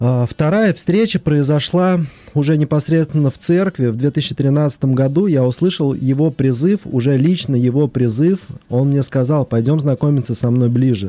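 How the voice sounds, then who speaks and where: The voice has a dark, mellow tone, a fairly slow pace and very even loudness. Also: man, fairly high pitch for a man, ordinary pitch variation, dry, close sound with no echo. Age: young. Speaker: company director and lay pastoral counselor. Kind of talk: casual chat; blessing. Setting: studio.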